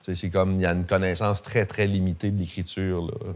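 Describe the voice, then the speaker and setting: With a Gaspésie accent, a man speaks at a moderate pace in a fairly low pitch. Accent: Gaspésie Quebec French. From Quebec, Gaspésie (Grande-Vallée). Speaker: historian lecturer. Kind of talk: public lecture with audience questions. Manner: casual, hesitant with fillers.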